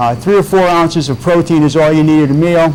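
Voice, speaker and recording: A man talks at a moderate pace with fairly even intonation. Noticeable background noise sits behind him. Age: 60s. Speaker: weight loss business owner. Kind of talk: TV interview. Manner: halting, many repeated words.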